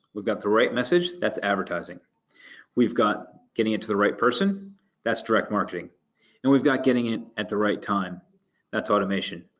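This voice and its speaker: Here is a man with an American accent. His pitch is fairly low. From United States. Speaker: marketing strategy director. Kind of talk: webinar presentation. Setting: online webinar. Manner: halting, many fillers and repeats.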